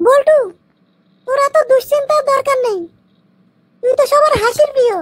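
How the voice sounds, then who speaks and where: This cartoonish character voice is extremely high in pitch and moves at a moderate pace. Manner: mocking, laughing.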